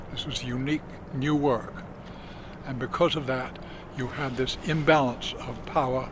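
Noticeable background noise surrounds a man speaking with fairly even intonation in a dry sound with no echo. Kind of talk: interview answer. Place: boat.

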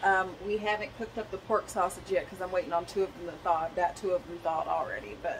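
Over noticeable background noise, a woman talks very fast with hardly any pauses and fairly even intonation. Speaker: home cooking vlogger. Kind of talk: casual vlog chat. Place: kitchen. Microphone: phone near.

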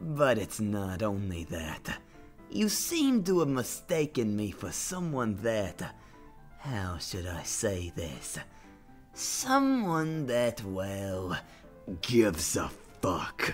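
A put-on character voice, low in pitch, speaks at a very slow pace with clear music in the background. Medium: dub. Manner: mock-polite, sarcastic.

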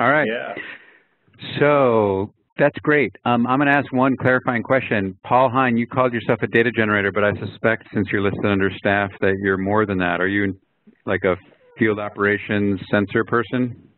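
With an unremarkable speaking voice, a man talks at a moderate pace in a fairly low pitch, his pitch varying in an ordinary way, and the sound is dry with no echo. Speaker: research data project lead facilitating a meeting. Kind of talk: online project meeting. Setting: video call. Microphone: video call.

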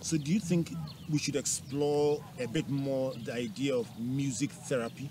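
A dark, mellow, somewhat breathy voice at a moderate pace with ordinary pitch variation, dry with no echo, over noticeable background noise. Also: man. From Ghana. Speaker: TV and radio talk show host; radio talk show host. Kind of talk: interview. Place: open country. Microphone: lapel.

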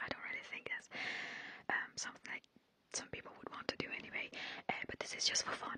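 A woman is whispering. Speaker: ASMR creator. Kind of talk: casual soft-spoken ASMR chat. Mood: warm, playful, gentle. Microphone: studio mic.

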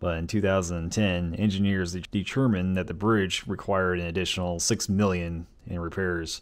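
Very deep, low male voice, fairly even in intonation, at a moderate pace. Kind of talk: casual exploration vlog narration. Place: open country. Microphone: phone near.

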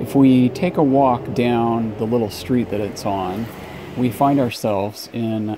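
Moderate pacing over noticeable background noise. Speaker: travel vlogger. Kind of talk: casual vlog chat. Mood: playful, wry. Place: street. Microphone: phone near.

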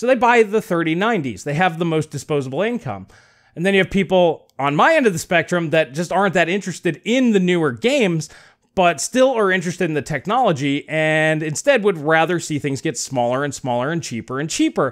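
A high-pitched man's voice with lively intonation at a fairly quick pace. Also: quiet background. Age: 40s. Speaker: tech YouTuber. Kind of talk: video commentary. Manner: conversational. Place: home room. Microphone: studio mic.

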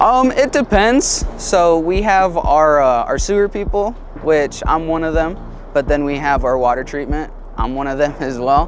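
Music plays in the background as a man speaks at a moderate pace. The sound is dry with no echo. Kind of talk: interview answer. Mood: relaxed, occasional laughs. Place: street. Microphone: lapel.

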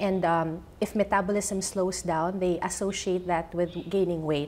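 A woman talks at a moderate pace, her intonation fairly even. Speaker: guest. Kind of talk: interview answer. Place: studio. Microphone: lapel.

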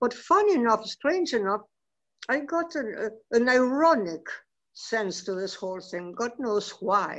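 Over a quiet background, a woman with a fairly high pitch speaks at a fairly slow pace, her pitch swinging very widely. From Argentina. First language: Spanish. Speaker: novelist; panelist. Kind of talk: panel discussion. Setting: video call. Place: home room. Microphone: video call.

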